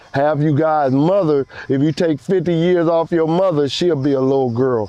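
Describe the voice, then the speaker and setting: A man with an American accent talks in an ordinary speaking voice at a moderate pace, his fairly high pitch showing ordinary variation and his loudness very even. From Watts, Los Angeles, US. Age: 60s. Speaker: street gang veteran. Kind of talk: interview. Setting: outdoors in a park.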